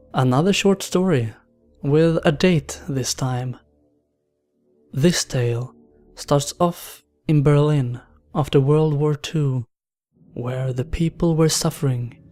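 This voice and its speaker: Over music in the background, a fairly high-pitched man speaks at a very slow pace with ordinary pitch variation and long, frequent pauses. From Sweden. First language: Swedish. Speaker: horror story narrator. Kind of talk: countdown commentary.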